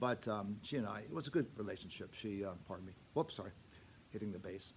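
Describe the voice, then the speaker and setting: Audible room echo surrounds a man's fairly low-pitched voice. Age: 70s. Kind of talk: parish update talk to congregation. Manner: halting, many fillers.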